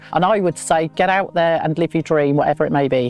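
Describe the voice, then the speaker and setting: A woman with an English accent speaks at a fairly low pitch with ordinary pitch variation. Music plays in the background. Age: 60s. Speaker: van dweller. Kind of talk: casual chat.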